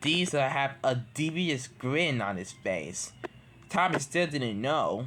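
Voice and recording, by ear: Intonation stays lively as the speaker reads aloud in a natural voice.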